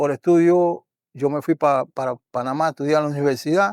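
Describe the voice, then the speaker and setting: Delivered at a moderate pace with fairly even intonation, the speech comes through on a very clean recording with a silent background. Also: man, dry, close sound with no echo. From Panama, Herrera province (Parita). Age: 60s. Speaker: folk drummer and drum maker. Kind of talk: interview. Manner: halting.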